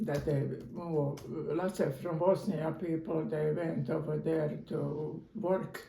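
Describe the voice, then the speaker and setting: With a Croatian accent, a woman speaks at a very slow pace in a very deep, low pitch with fairly even intonation, against noticeable background noise. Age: 80s+. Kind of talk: interview answer. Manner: hesitant, halting.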